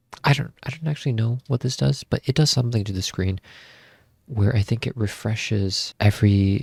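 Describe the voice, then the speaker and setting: Someone whispers at a fairly quick pace, sounding somewhat breathy. The recording is very clean and silent in the background, with a dry, close sound and no echo. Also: man. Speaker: tech YouTuber. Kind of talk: tutorial. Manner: casual, filler-heavy; whispering.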